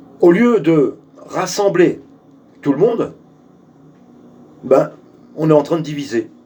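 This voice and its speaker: Speaking at a very slow pace, a man leaves long, frequent pauses. His high voice has ordinary pitch variation over noticeable background noise. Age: 60s. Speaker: political activist. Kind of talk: video address to supporters. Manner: hesitant, many fillers; forceful.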